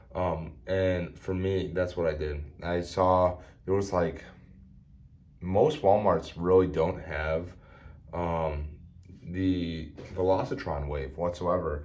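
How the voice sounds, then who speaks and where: A man with an American accent speaks at a very slow pace, leaving long, frequent pauses. His very deep, low voice carries fairly even intonation over audible room echo. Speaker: toy reviewer. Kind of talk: product review. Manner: halting, many fillers.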